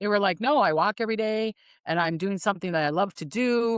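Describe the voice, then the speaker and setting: In dry, close sound with no echo and a quiet background, a woman speaks fairly quickly in a fairly high voice with lively intonation. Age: 60s. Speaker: psychic. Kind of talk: casual chat. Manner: animated.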